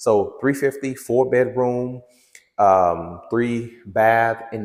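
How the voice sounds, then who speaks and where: A man's ordinary speaking voice at a medium pitch, with ordinary pitch variation. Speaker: real estate agent. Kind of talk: property tour vlog. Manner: casual, conversational.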